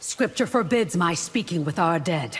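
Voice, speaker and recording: A woman's growling put-on character voice, fairly low in pitch, with very wide pitch swings at a moderate pace. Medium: video game. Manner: formal, measured.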